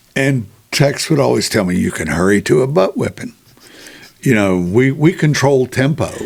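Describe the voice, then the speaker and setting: In an American accent, a man talks at a medium pitch and a moderate pace. His pitch swings very widely, and there is vocal fry. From western Virginia. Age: 70s. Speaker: sports author. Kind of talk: interview. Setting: podcast.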